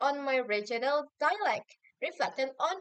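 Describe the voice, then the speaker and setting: A woman with a strong Javanese accent. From Indonesia, Javanese community. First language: Javanese or Indonesian. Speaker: university student. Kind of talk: recorded assignment answer video. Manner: hesitant with fillers.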